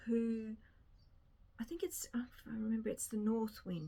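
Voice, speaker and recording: A woman with an Australian accent talks at a fairly slow pace. Her voice is somewhat breathy and fairly high. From rural Australia. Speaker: book vlogger. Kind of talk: casual chat. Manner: casual, rambling with repetitions.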